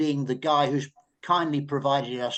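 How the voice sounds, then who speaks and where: With an English accent, a man speaks with ordinary pitch variation. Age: 80s+. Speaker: journalist. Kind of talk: panel discussion. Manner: halting.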